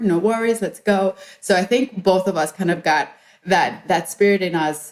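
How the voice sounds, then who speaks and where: Delivered at a moderate pace with ordinary pitch variation, the speech carries a slight Spanish accent. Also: woman. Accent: lighter Spanish accent than her sister. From Colombia and Ecuador. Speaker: entrepreneur and journalist. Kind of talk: podcast interview.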